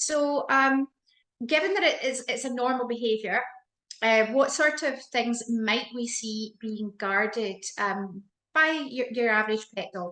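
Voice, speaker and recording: A woman speaks in a Scottish accent at a fairly slow pace. Her pitch is high, her tone bright and sharp, with ordinary pitch variation. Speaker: dog behaviour host, interviewer. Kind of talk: interview chat. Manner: hesitant, many fillers.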